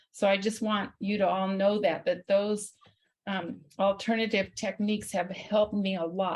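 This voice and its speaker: A somewhat breathy woman's voice at medium pitch, moderate pace, with monotone, flat intonation. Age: 70s. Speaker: support group member. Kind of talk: personal testimony.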